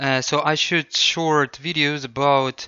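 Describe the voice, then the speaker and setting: A man talks with a non-native accent. His pitch is fairly high. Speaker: English tutor. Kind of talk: casual talk to camera.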